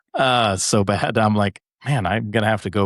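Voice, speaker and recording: A man's voice with ordinary pitch variation, dry and close with no echo, against a quiet background. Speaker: golf coach and podcast host. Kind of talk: casual chat. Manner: loud.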